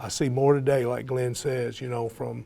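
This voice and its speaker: A man with a Tennessee accent at medium pitch, dark and mellow in tone, somewhat breathy, at a fairly slow pace. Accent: Southern US (Tennessee). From US South, East Tennessee. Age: 60s. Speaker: college football coach. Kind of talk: panel discussion.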